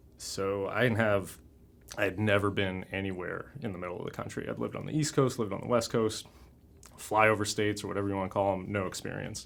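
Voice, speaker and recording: A man with a fairly low pitch speaks at a very fast pace with fairly even intonation. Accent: Mid-Atlantic American. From Washington DC area / Maryland, Brazilian-born. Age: 30s. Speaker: permaculture activist. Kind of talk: oral history interview. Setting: recording studio.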